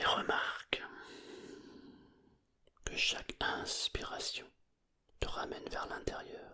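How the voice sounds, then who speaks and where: The speaker whispers at a very slow pace. Long pauses come often. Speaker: hypnotherapist. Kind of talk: sleep hypnosis. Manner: whispered.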